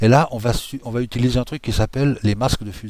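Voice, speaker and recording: A man talks at a fairly quick pace. He has a slight Swiss French accent. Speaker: software tutorial creator. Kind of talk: tutorial. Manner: casual, hesitant with many fillers.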